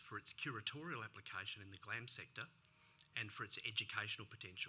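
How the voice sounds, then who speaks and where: A man with a Sydney accent talks at a fairly quick pace with lively intonation. His tone is bright and sharp. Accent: Sydney Australian. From Australia, Sydney. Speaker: digital humanities lab lead. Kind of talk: conference talk.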